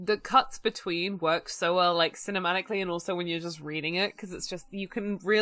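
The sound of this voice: An unforced reading voice, intonation fairly even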